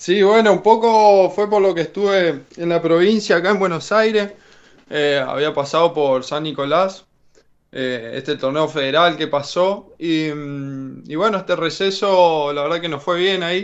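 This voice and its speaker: His high male voice unfolds at a fairly slow pace. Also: ordinary pitch variation. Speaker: basketball player. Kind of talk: radio interview.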